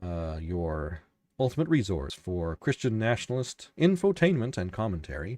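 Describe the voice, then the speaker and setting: A man with fairly low pitch, a calm, soothing tone and very wide pitch swings, dry and close with no echo, in a very clean recording with a silent background. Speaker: podcast host and novelist. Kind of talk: solo livestream commentary. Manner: halting, many fillers and restarts.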